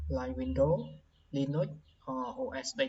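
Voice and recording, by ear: The room echo is audible. The voice has a slightly mellow tone and a fairly slow pace.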